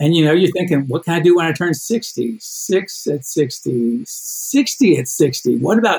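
This man has a high pitch that moves in very wide swings. He talks at a fairly slow pace with hardly any pauses. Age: 60s. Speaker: endurance athlete and coach. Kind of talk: interview.

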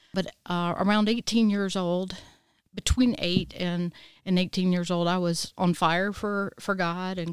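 A woman with a South Carolina accent speaks at a medium pitch and fairly slow pace with monotone, flat intonation. The recording is very clean with a silent background, dry and close with no echo. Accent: Southern US (South Carolina). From US South, Easley, South Carolina. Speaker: licensed professional counselor. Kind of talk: testimony.

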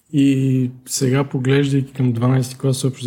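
A man speaks at a very slow pace. His tone is dark and mellow, and somewhat breathy. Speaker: alpine skier and former student. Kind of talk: interview. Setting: studio.

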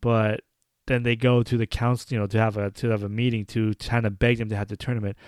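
A man speaks at a medium pitch in an ordinary speaking voice, his intonation fairly even. It is a very clean recording with a silent background and a dry, close sound with no echo. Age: 30s. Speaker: podcast host. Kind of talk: casual solo commentary.

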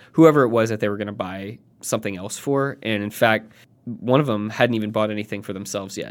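In a very clean recording with a silent background, a man speaks at medium pitch with ordinary pitch variation. He has a plain, everyday voice. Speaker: podcast co-host. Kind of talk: casual chat.

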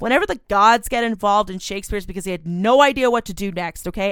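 A woman talks at a very fast pace in an animated tone with ordinary pitch variation. The recording is very clean, with a silent background. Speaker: film podcast co-host. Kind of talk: casual banter, movie discussion. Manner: animated, joking.

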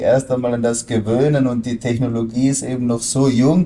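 A man's dark, mellow tone at a fairly slow pace. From Austria. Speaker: crypto trader and analyst. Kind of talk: interview.

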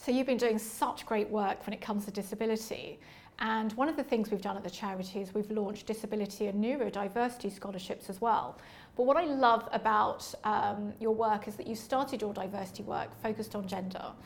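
A woman speaks at a fairly quick pace and a fairly high pitch. Her intonation is fairly even, and audible room echo surrounds her. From East London. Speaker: podcast host and charity founder. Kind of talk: interview conversation. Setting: livery company hall.

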